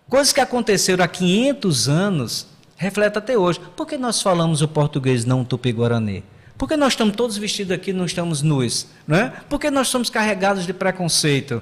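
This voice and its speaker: A man's high voice with very wide pitch swings. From Paraíba, Brazil (João Pessoa area). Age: 60s. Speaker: history professor. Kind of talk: podcast interview. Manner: halting, many repetitions and fillers.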